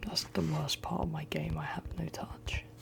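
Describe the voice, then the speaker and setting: A whisper moves along fairly slowly against noticeable background noise. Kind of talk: ASMR ramble. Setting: studio. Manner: soft-spoken.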